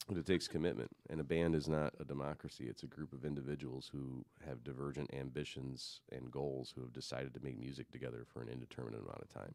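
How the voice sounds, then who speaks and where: Very deep and low, a man's voice shows vocal fry and fairly even intonation. He talks at a very fast pace with hardly any pauses. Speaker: musician and audio engineer. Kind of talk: casual chat.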